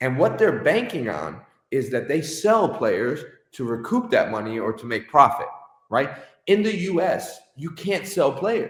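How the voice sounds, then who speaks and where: This man talks loudly at a fairly slow pace. His tone is animated, with very wide swings in pitch. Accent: American. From Connecticut, US. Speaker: soccer club owner and coach. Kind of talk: interview. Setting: live stream.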